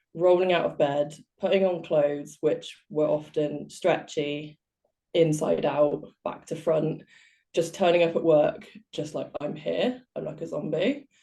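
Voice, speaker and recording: A woman with a British accent speaks fairly slowly in a very deep, low voice, her tone dark and mellow with vocal fry. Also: fairly even intonation. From southwest England. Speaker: life coach. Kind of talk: interview.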